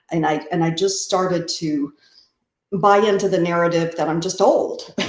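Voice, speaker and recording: A woman's plain, everyday voice, fairly low in pitch, with fairly even intonation and a moderate pace. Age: 60s. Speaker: amateur runner. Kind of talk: interview.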